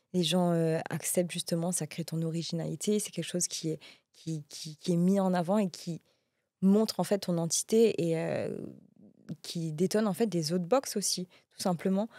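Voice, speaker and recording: A woman with a fairly low, dark, mellow voice speaks at a moderate pace and fairly even intonation, in a dry, close sound with no echo. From Mauritius. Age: 30s. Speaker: entrepreneur. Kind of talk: interview. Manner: hesitant, many fillers.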